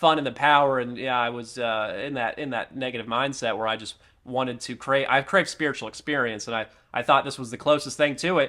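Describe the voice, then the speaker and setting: Talking at a very fast pace, a man with a fairly high voice and a bright, sharp tone shows ordinary pitch variation. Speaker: author and former New Age practitioner. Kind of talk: podcast interview.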